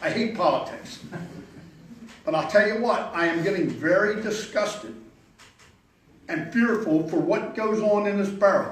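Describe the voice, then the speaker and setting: A man speaks with a Philadelphia accent at a high pitch and a moderate pace, with ordinary pitch variation. Noticeable background noise and audible room echo surround him. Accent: Philadelphia-area American. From Pennsylvania, US. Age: 70s. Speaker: local resident speaking at public hearing. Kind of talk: public comment at zoning hearing. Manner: halting, repeats words.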